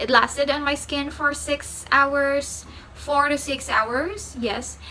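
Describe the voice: A woman's bright, sharp tone at a fairly slow pace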